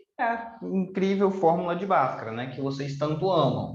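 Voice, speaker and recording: A high-pitched male voice with audible room echo. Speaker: math teacher. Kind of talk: lecture.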